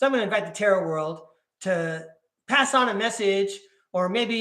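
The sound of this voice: This unforced reading voice has lively intonation over a quiet background.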